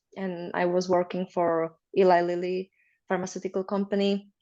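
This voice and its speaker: A woman's moderate-paced speech comes through over a quiet background. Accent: Slovak. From Slovakia. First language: Slovak. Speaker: marriage consultant. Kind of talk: interview.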